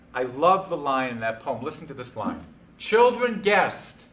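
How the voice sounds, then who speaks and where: Male speaker at a moderate pace with lively intonation and audible room echo. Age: 60s. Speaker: poetry speaker leading a discussion. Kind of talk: talk on poetry with group discussion. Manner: animated.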